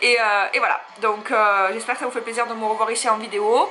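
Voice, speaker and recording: At a moderate pace, a woman with a fairly high pitch speaks in a Marseille accent. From France, Marseille. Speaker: YouTuber, plus-size fashion blogger. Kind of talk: personal confession vlog. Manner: hesitant, many fillers.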